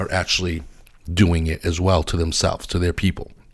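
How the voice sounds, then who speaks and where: The recording is very clean with a silent background as a man speaks at a fairly quick pace with an American accent. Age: 40s. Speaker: podcast host. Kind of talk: solo opinion monologue. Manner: halting, many fillers.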